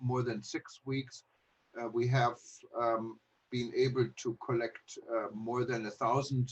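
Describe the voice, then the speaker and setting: Monotone, flat delivery at a fairly slow pace in a German accent. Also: man. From Germany. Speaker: travel news publisher. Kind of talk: online panel talk. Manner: halting, many fillers.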